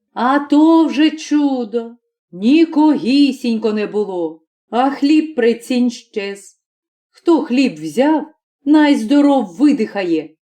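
Putting on a character voice, a woman speaks with a high pitch and lively intonation. Her pace is very slow. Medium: read story. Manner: mild, patient.

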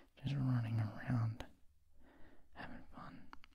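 A man whispers at a fairly slow pace. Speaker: ASMR creator. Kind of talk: soft-spoken ASMR chat about video games. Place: home room. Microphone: handheld.

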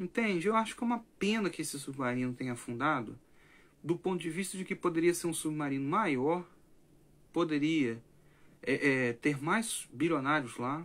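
Using lively intonation, a man speaks at a moderate pace in a fairly high pitch. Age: 20s. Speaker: language teacher and content creator; language teacher, content creator. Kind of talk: late-night livestream monologue. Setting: livestream at night. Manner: animated. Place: home room.

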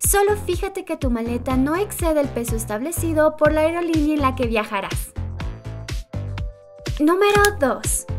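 Lively intonation and an upbeat tone come at a moderate pace, with music in the background. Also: woman. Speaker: narrator. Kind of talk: top-list video narration. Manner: lively, upbeat.

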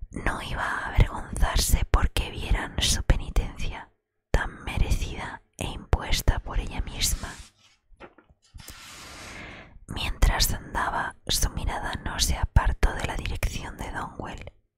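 A woman whispers with big swings in loudness. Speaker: audiobook reader. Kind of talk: reading a novel aloud. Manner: soft close-mic ASMR reading voice. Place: home room. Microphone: studio mic.

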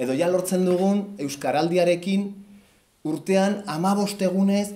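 A man with a high pitch and a dark, mellow tone speaks with ordinary pitch variation. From Basque Country. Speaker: cartoonist presenting his comic book. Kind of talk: book presentation talk. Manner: hesitant, many fillers. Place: hall. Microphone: camera far.

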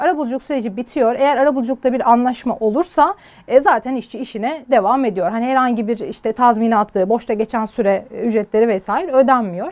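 Her pace is fairly quick. The woman's voice sits high in pitch. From Turkey, Sivas (Gürün). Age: 20s. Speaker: lawyer. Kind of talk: interview. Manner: hesitant with fillers.

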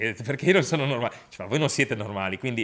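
The background stays quiet. A man talks with ordinary variation in his pitch. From Liguria, Italy (Lavagna, Genoa); Liguria, Italy. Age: 40s. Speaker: Paralympic handbike athlete. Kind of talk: testimony. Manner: halting, with frequent repetitions and fillers. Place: home room.

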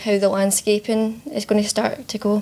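A woman at a medium pitch and moderate pace, with little pitch movement, a dark, mellow tone and faint background noise

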